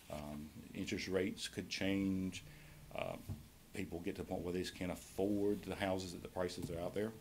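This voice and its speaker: A man speaks at a fairly quick pace with a North Carolina accent. His very deep, low voice stays monotone and flat. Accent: Southern American (North Carolina). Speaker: county tax assessor presenting to commissioners. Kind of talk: public meeting presentation. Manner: fast.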